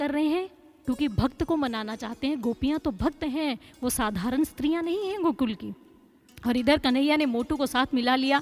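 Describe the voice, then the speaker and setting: Against music in the background, a woman speaks at a high pitch with lively intonation. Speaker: spiritual storyteller (katha narrator). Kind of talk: devotional katha storytelling.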